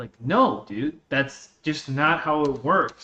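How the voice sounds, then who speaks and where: A man speaks with a slight Russian accent and ordinary pitch variation. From born in Russia, raised on US West Coast from age 11. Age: 20s. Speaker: gaming streamer. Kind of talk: casual chat.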